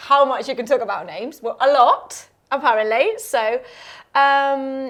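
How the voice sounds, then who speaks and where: A woman talks at a fairly slow pace and a high pitch with lively intonation and big swings in loudness. The recording is very clean, with a silent background. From northern Spain. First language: Spanish. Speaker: podcast host. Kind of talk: casual chat.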